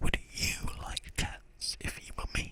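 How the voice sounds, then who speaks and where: A raspy put-on character voice speaks at a fairly slow pace. Light background noise can be heard. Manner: passionate, indignant.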